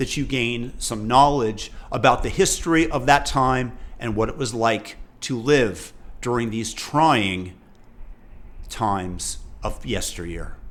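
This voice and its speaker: A man speaks at a fairly slow pace with long, frequent pauses. His pitch is medium, with ordinary variation. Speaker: family history narrator. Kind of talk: spoken introduction to a memoir series.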